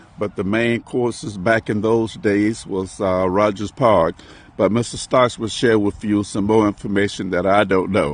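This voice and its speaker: A man with a plain, everyday voice, fairly low in pitch, at a moderate pace with fairly even intonation. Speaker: podcast host, interviewer. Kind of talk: interview question.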